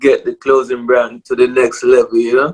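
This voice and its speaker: A man with a Jamaican accent is heard in a dry, close recording with no echo. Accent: Jamaican English with patois. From Jamaica, Port Maria, Saint Mary (rural). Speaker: clothing brand owner, former musician. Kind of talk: casual interview.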